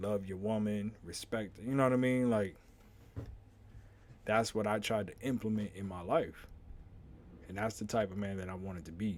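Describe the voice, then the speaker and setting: A man speaks with fairly even intonation. His delivery has long, frequent pauses. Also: fairly low pitch for a man, moderate pace. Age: 30s. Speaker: podcast host. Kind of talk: casual monologue.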